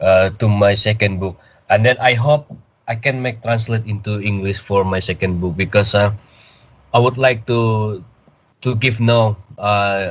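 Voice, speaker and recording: A man with an Indonesian accent talks at a fairly slow pace in a fairly low, somewhat breathy voice, with fairly even intonation and long, frequent pauses, on a very clean recording with a silent background. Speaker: cryptid field researcher, author. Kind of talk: interview. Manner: halting.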